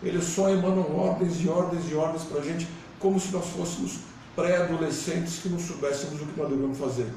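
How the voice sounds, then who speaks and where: Over noticeable background noise and audible room echo, a man talks at a very fast pace in a fairly high pitch with lively intonation. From São Paulo city, Brazil. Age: 60s. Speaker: political candidate. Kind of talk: interview.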